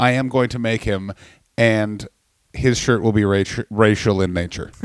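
Delivered in an ordinary speaking voice, the speech moves at a moderate pace with ordinary pitch variation, recorded dry and close with no echo. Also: man. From Canada. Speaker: comedian. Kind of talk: casual chat.

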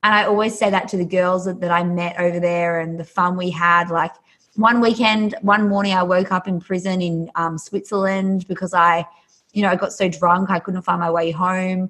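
An animated, enthusiastic woman with an Australian accent, medium pitch, moderate pace. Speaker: yoga instructor and author. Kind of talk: casual podcast interview.

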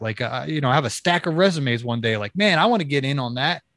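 Recorded with a dry, close sound and no echo, a man talks at a very fast pace with lively intonation. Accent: Midwestern American. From Ohio, Kent/Akron area. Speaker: podcast host and author. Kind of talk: casual chat. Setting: video call.

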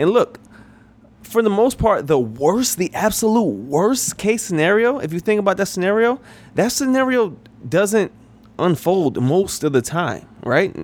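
Using an American accent, a man talks at a moderate pace with very wide pitch swings. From New York. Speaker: podcast host, career advice. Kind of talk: solo podcast monologue. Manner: casual, filler-heavy.

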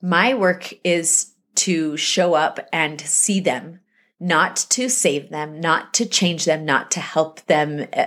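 In an American accent, a woman speaks at a very slow pace and fairly low pitch in a very clean recording with a silent background. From US West, Salt Lake City, Utah. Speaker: author. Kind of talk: interview.

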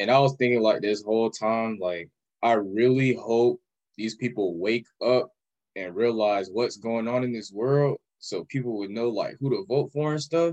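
A man with an American accent and an unremarkable speaking voice talks at medium pitch and a moderate pace, with ordinary pitch variation. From Orlando, Florida. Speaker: podcast guest, shoe cleaning business owner. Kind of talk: casual chat.

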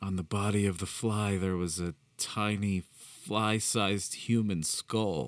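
The clip has an unforced reading voice, its intonation fairly even.

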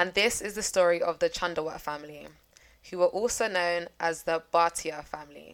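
A woman with a London accent talks at a moderate pace, her fairly low pitch carried by fairly even intonation. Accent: London, Multicultural London English. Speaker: true crime podcast host. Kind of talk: storytelling.

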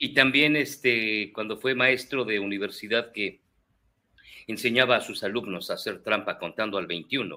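The man's voice is bright and sharp in tone, at a medium pitch with ordinary pitch variation. He speaks at a fairly slow pace. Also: very clean recording, silent background. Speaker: podcast guest. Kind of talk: casual chat.

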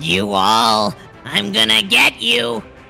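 Over clear background music, a man puts on a squeaky character voice. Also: medium pitch for a man.

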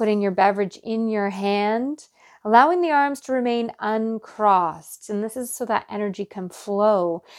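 A woman has a normal speaking voice at a fairly high pitch with ordinary pitch variation. The recording is very clean with a silent background. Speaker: meditation teacher. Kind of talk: guided meditation. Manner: slow, calm and soothing, with gentle instructive pacing; warm, nurturing, soft-spoken.

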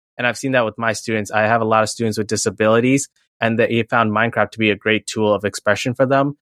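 A man with an American accent talks very fast at a medium pitch, in a monotone with flat intonation. The recording is very clean with a silent background and a dry, close sound with no echo. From New York City, Queens. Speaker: high school chemistry teacher. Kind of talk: interview conversation.

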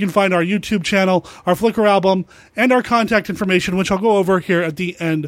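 At a fairly quick pace, a man speaks with a high pitch and ordinary pitch variation on a very clean recording with a silent background. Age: 40s. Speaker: podcast host. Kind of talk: podcast intro and outro. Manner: excited.

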